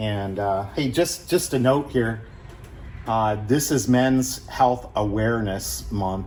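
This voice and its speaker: Over audible room echo, a man with a Midwestern American accent speaks at a very slow pace and medium pitch, his intonation lively. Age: 60s. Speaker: car restoration youtuber, retired engineer. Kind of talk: casual chat; tutorial. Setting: garage. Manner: casual, halting with many fillers.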